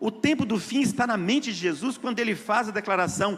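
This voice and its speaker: This man's voice sits at an extremely high pitch. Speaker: lay preacher. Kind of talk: sermon.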